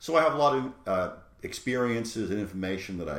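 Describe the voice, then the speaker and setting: A man talks at a fairly quick pace with a New York accent and very wide pitch swings. Room echo can be heard. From New York City. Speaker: college professor. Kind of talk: lecture. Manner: hesitant, many fillers.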